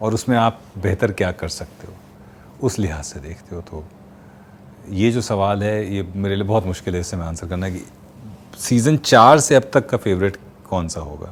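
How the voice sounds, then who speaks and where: This man has a normal speaking voice, fairly low in pitch with ordinary pitch variation, delivered at a moderate pace with big swings in loudness. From Kanpur, India. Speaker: voice artist. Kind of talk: interview answer.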